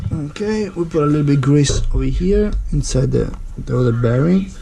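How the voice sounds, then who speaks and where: A man speaks with an Italian accent over noticeable background noise. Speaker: scooter mechanic. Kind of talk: DIY repair tutorial. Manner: casual, hesitant.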